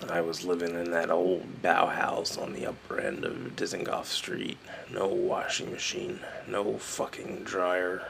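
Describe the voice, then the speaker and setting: Amid clear background noise, a man does a raspy put-on character voice at a fairly slow pace. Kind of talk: spoken-word storytelling. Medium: solo performance. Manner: wry, profane, reflective.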